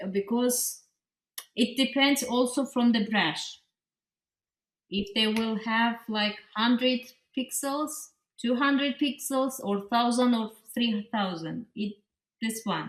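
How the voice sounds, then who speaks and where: A woman with a non-native accent speaks in a fairly high pitch. Her pace is very slow, broken by long, frequent pauses. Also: ordinary pitch variation. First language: not English. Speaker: pixel artist and graphic designer. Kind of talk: interview. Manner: halting, with many fillers and restarts.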